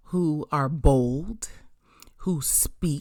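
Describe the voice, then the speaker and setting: In a very clean recording with a silent background, a woman speaks very slowly in a very deep, low voice with ordinary pitch variation. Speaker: podcast host and minister. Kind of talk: motivational podcast monologue. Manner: bold, not soft-spoken; forceful.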